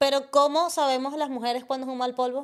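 The woman's pitch is high. She speaks at a fairly quick pace against a quiet background. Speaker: podcast co-host. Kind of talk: casual chat. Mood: playful, gossipy. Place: studio. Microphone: studio mic.

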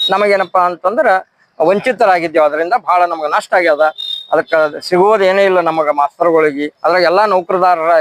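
Fairly even in intonation, a man speaks at a high pitch, with a dry, close sound and no echo. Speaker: retired teacher, pensioners' association organiser. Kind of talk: protest statement to the press.

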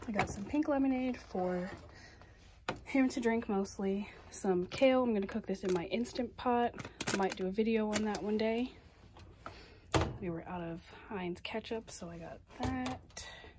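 Noticeable background noise surrounds a woman speaking at a moderate pace with ordinary pitch variation. Her loudness swings widely, with long, frequent pauses. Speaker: home vlogger. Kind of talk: casual vlog chat. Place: kitchen. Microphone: phone near.

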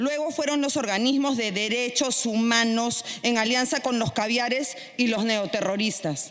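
A woman's fairly slow delivery, with very even loudness and ordinary pitch variation. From Peru. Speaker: congresswoman. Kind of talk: parliamentary speech. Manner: formal. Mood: combative, indignant. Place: hall. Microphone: podium.

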